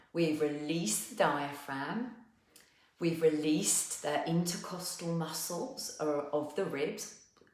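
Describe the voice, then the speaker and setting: A woman with a South East London accent speaks very slowly in a gentle, calm tone with ordinary pitch variation. Room echo is audible, along with noticeable background noise. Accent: South East London twang. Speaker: movement and wellness teacher. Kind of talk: guided movement class. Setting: live online session.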